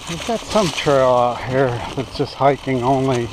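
The pace is moderate, and noticeable background noise can be heard. The sound is dry, with no echo. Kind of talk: casual ride commentary. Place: forest. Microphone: phone near.

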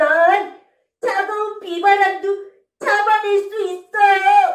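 Using a put-on character voice, a woman speaks at an extremely high pitch and a very slow pace, with a slight echo. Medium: read story. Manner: bright, spirited.

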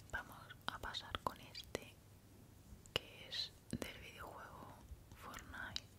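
A woman's whispering, very slow, with long, frequent pauses. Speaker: ASMR creator. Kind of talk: ASMR show and tell. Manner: soft-spoken, whispering. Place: home room. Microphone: studio mic.

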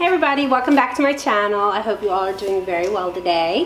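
Amid light background noise and audible room echo, a woman talks at a very fast pace. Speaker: home vlogger. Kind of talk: casual vlog chat. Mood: cheerful, laughing. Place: home room. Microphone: camera far.

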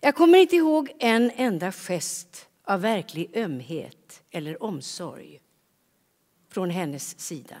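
Over a quiet background, a woman at medium pitch speaks at a very slow pace with very wide pitch swings and big swings in loudness. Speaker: actor. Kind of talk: reading aloud. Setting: stage with audience. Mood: calm, measured, reflective. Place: stage. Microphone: headset.

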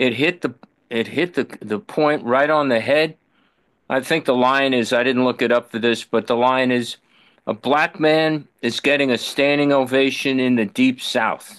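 A man talks at a moderate pace with fairly even intonation and very even loudness, with a quiet background. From New York. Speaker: baseball fan. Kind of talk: Q&A question. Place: home room. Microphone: video call.

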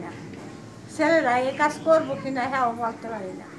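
Noticeable background noise under a woman's high-pitched voice with lively intonation. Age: old. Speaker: dairy farmer. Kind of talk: interview. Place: farm machine. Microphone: camera far.

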